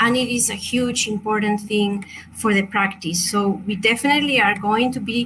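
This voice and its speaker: With a Chilean Spanish accent, the speaker keeps fairly even intonation, very even loudness and a moderate pace over noticeable background noise. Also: woman, fairly high pitch for a woman. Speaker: crystal meditation teacher. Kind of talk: online workshop presentation. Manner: halting.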